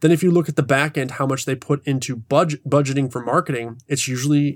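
A man talks in an ordinary speaking voice. His pitch sits fairly high. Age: 40s. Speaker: independent filmmaker. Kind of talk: casual chat.

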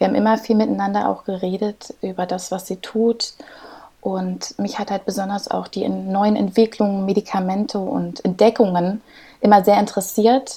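The dark, mellow voice moves at a moderate pace in a monotone, flat intonation. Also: woman, medium pitch for a woman. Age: 30s. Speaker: clinical research associate. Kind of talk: interview.

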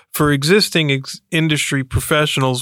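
A man's fairly high voice at a moderate pace, monotone and flat in intonation. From Florida. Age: 50s. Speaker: university professor and program director. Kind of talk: interview.

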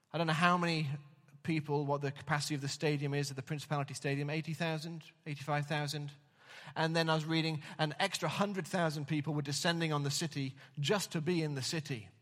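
Very fast and flat, a man speaks in a monotone. The recording is very clean, with a silent background. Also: fairly high pitch for a man. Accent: English. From England. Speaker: pastor. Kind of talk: sermon. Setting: church.

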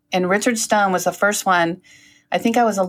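On a very clean recording with a silent background, a woman with an American accent and an unremarkable speaking voice talks at a fairly quick pace, medium pitch and fairly even intonation. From Northern California. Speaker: lawyer. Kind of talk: casual chat.

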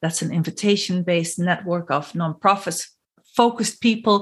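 A woman's fairly low, somewhat breathy voice shows ordinary pitch variation. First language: not English. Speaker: podcast host and consultant. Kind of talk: interview.

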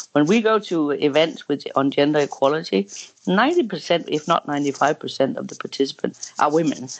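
With a Danish accent, a woman speaks at a moderate pace in a very deep, low pitch, her voice making very wide pitch swings. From Denmark, western Jutland. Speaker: head of a gender equality organisation. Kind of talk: interview.

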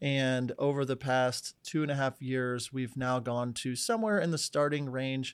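A man with a normal speaking voice and medium pitch talks at a moderate pace, with ordinary pitch variation and hardly any pauses. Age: 30s. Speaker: wedding filmmaker and educator. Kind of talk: casual chat.

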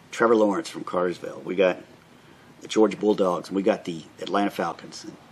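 With an American accent, a man speaks in a fairly low pitch, leaving long, frequent pauses amid noticeable background noise. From Florida, Orlando. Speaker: local podcast co-host. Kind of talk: casual chat.

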